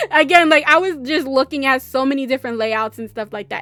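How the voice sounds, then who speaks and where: A woman speaks loudly with a high-pitched voice. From New York, raised by southern US family. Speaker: gaming YouTuber. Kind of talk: voiceover commentary. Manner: casual, rambling with many fillers.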